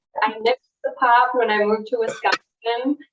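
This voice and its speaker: A woman talks at a fairly slow pace. She has a slight Midwestern accent. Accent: slight Midwest. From US Midwest. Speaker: laboratory liaison. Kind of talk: interview. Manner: calm cadence; hesitant fillers.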